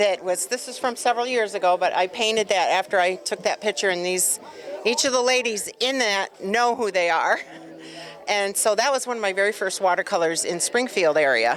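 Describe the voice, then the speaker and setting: Over music in the background, a woman talks at medium pitch and a fairly quick pace with ordinary pitch variation. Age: 60s. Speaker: artist. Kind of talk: casual interview. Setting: event venue.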